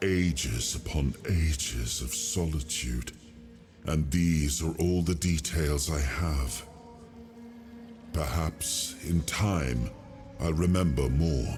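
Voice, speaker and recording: A put-on character voice speaks very slowly with long, frequent pauses over clear background noise. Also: man. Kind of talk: video game dialogue. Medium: video game. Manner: formal, regal, measured.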